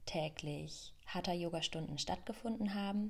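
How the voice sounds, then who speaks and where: The speaker sounds somewhat breathy. Pitch shifts an ordinary amount. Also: woman. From Germany, Rhön region. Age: 20s. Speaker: yoga teacher and podcaster. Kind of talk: personal storytelling monologue.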